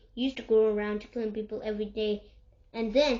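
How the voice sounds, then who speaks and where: A woman puts on a character voice, speaking very fast at a fairly high pitch with a monotone, flat delivery. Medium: read story.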